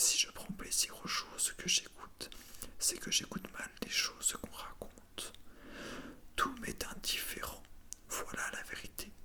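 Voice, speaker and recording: Very slowly, a woman whispers. Behind her there is noticeable background noise. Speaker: ASMR creator reading aloud. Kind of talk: whispered theatre reading for ASMR. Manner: whispered, soft.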